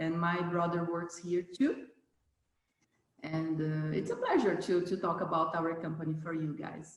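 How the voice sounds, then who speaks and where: Fairly low female voice in a Brazilian Portuguese accent, fairly slow and fairly even in intonation, with audible room echo. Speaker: company general manager. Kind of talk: interview. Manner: halting.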